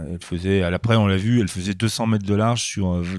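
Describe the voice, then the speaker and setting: Captured on a very clean recording with a silent background, a man talks at a very fast pace. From France, Grenoble. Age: 60s. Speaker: comic book artist. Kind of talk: interview. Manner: halting, many hesitations.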